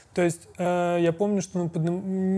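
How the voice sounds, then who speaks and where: A man's high-pitched voice, dark and mellow in tone, at a moderate pace in a very clean recording with a silent background. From born in Tashkent, Uzbekistan, moved to Russia at 10. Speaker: podcast co-host, designer. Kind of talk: casual chat.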